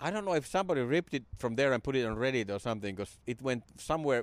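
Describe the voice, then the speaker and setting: Very clean and silent in the background, the recording has a dry, close sound with no echo. A man with a Finnish accent talks at a medium pitch with lively intonation. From Finland; Jyväskylä, Finland. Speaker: comedian. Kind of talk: casual podcast interview.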